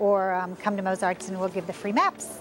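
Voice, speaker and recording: Clear music plays in the background. A woman talks over it in a dry sound with no echo. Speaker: interviewee. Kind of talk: interview answer. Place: street. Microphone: lapel.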